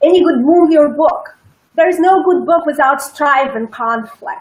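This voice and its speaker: A woman with a non-native accent speaks at an extremely high pitch. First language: not English. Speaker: public speaking coach. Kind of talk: interview.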